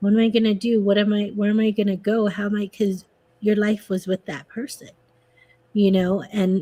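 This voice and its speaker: A soft-spoken, somewhat breathy woman at a moderate pace. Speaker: podcast guest. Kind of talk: casual chat. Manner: animated.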